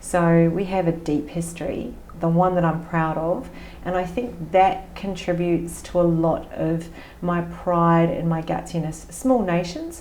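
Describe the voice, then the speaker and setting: With an Australian accent, a woman speaks at a fairly low pitch and a fairly slow pace with fairly even intonation, amid audible room echo and noticeable background noise. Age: 50s. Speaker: business coach. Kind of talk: podcast interview.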